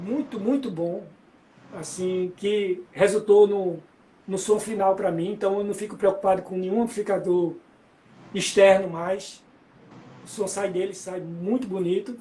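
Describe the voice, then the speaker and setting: Long, frequent pauses break up this man's speech. His pitch is high and his intonation fairly even. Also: fairly slow pace. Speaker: musician. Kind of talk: interview.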